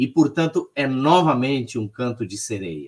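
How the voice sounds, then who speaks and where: Speaking at a fairly slow pace, the voice swings very widely in pitch. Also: man. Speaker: social work academic, lecturer. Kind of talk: lecture in online talk.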